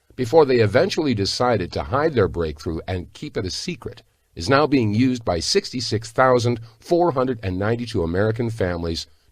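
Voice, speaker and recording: At a moderate pace, a man with a medium-pitched voice and vocal fry swings very widely in pitch. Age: 60s. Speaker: sales video narrator. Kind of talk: sales pitch. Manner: enthusiastic.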